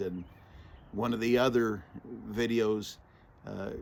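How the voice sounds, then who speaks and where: A man with a medium pitch and monotone, flat intonation. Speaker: retired homesteader vlogger and preacher. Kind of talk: casual vlog monologue. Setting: outdoors. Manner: halting, many restarts and fillers.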